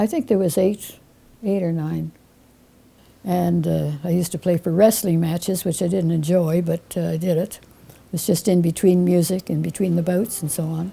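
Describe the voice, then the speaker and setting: A woman's fairly low, dark, mellow voice, somewhat breathy, at a moderate pace with fairly even intonation. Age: 90s. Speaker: musician. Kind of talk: interview testimony.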